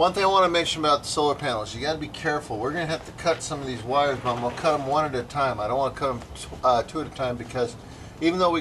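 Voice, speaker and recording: A man at a very fast pace, with ordinary pitch variation and light background noise. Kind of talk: casual how-to tutorial narration. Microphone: camera far.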